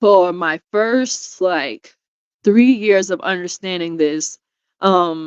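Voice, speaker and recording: At a very slow pace, a woman with a New York accent speaks at a medium pitch with ordinary pitch variation, in a dry, close sound with no echo. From New York, Brooklyn. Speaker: foster care survivor. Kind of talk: interview testimony.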